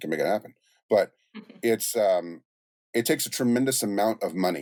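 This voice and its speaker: A man at a fairly quick pace in a plain, everyday voice. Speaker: music producer. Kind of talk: podcast interview answer. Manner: casual, conversational.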